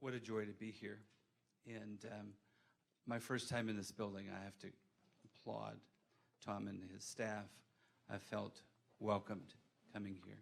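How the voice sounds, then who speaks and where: At a moderate pace but with long, frequent pauses, a man speaks in a fairly low, flat monotone with vocal fry. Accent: American. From US South. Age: 60s. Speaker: mental health clinical manager, panelist. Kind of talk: panel discussion.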